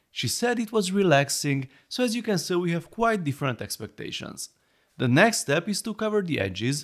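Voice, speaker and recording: A man speaks at a moderate pace with a fairly high pitch and very wide pitch swings. The recording is very clean, with a silent background. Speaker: toy reviewer. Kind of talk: product review narration.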